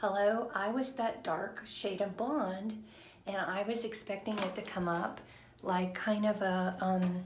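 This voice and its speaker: A woman whispering amid noticeable background noise and audible room echo. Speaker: vlogger. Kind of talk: casual chat. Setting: live stream at home. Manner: hesitant, many fillers.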